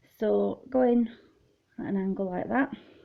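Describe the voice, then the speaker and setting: Speaking at a fairly slow pace, a woman talks with a British accent. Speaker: crochet doll designer. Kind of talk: tutorial. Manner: loud. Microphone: tablet mic, low quality.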